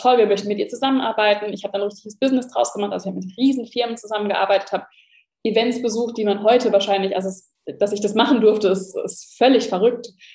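Very fast talking from a woman, her intonation fairly even. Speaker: entrepreneur and online shop owner, former lifestyle blogger. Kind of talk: casual interview conversation.

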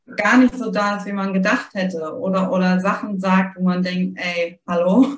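A woman with a Hamburg accent, medium in pitch, at a fairly slow pace with fairly even intonation. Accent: sweet Hamburg-style northern German. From northern Germany, Heligoland. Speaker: grief support author. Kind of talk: podcast interview.

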